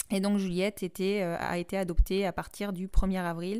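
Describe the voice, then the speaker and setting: A woman's medium-pitched voice in a monotone, flat intonation, on a very clean recording with a silent background. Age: 30s. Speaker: podcast host. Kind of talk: personal testimony.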